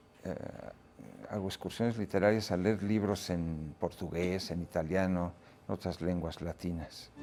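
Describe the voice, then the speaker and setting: Music plays behind a man speaking with a Catalan accent. His pitch is very deep and low, his pace fairly slow, and his intonation fairly even. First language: Catalan (speaking Spanish). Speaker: reader, literary guest. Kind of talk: interview. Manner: hesitant, many fillers.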